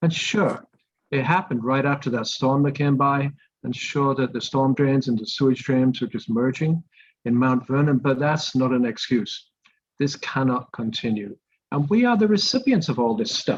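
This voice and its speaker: A man's fairly high voice at a moderate pace with ordinary pitch variation. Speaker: environmental advocate. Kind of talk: community presentation. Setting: video call. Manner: soft-spoken.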